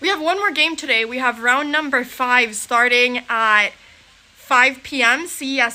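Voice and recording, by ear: A woman speaks at a moderate pace with a high pitch. Her tone is bright and sharp, with ordinary pitch variation.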